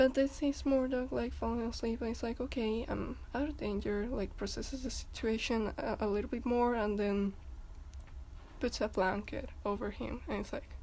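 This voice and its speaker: A woman with a non-native accent speaks in a fairly high voice with a dark, mellow tone and vocal fry. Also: fairly even intonation, moderate pace. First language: not English. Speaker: fandom commentary youtuber. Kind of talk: casual video commentary. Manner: halting, many repetitions and fillers.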